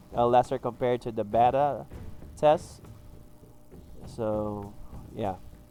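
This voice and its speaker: A man's medium-pitched voice, fairly slow and fairly even in intonation, with music in the background. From Philippines. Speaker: gaming youtuber. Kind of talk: tutorial. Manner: halting, many fillers.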